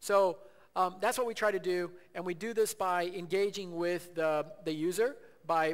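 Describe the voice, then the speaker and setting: He is a man with a high pitch. His pitch varies in an ordinary way. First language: Portuguese. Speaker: tech company executive. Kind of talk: conference presentation. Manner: halting, many fillers and repeats.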